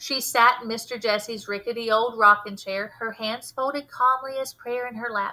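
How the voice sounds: This reading voice sounds natural.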